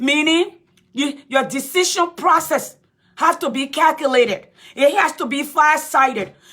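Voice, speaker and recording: A woman with a Liberian accent speaks in a raised, projected voice, high-pitched and bright and sharp in tone, animated, with ordinary pitch variation and a fairly slow pace. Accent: African (Liberian). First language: a Liberian native language. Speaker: political commentator. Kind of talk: live-stream talk. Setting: Facebook live stream.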